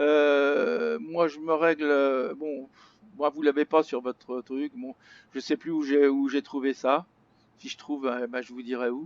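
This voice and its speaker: A man speaks very slowly at a fairly high pitch, in a monotone, flat intonation with big swings in loudness, on a dry, close recording with no echo. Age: 70s. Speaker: flight simulator hobbyist. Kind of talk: tutorial. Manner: halting.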